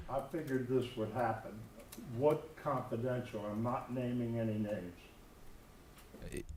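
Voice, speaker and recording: A man with a medium-pitched, somewhat breathy voice speaks at a fairly slow pace with fairly even intonation, and room echo is audible. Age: 70s. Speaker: public commenter at school board meeting. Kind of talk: public comment. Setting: school board meeting at podium. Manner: halting.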